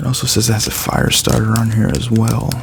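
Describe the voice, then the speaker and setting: Over noticeable background noise, a soft-spoken man talks at a moderate pace with medium pitch, ordinary pitch variation and a relaxed tone. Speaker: ASMR content creator. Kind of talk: ASMR unboxing, casual talk to camera. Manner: soft-spoken, relaxed.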